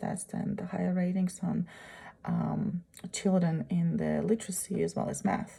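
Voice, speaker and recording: Someone speaks with a Russian accent at a moderate pace. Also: woman. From Uzbekistan. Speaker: graduate student. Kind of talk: presentation. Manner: halting.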